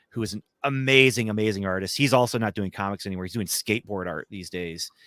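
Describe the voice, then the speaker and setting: In a dry, close recording with no echo and a silent background, a man speaks at a fairly low pitch. His tone is bright, sharp and animated. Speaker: comic writer and podcaster. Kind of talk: casual chat. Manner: animated, talks with hands.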